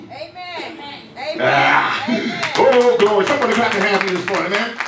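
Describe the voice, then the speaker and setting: A man talks at a fairly quick pace, with audible room echo and noticeable background noise behind him. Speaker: preacher. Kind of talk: sermon. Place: church.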